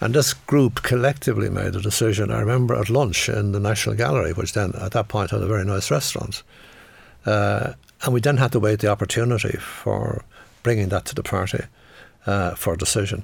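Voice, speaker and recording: Speaking in a Dublin accent at a fairly quick pace, the voice shows vocal fry and ordinary pitch variation. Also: man, fairly low pitch for a man. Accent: Dublin Irish. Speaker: economist and former politician. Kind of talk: interview. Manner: halting.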